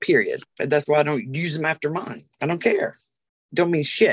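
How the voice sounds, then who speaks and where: A woman with a Southern US accent talks at a fairly quick pace in a dry, close sound with no echo. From US South, South Carolina. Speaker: witch and spiritual practitioner. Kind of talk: casual interview.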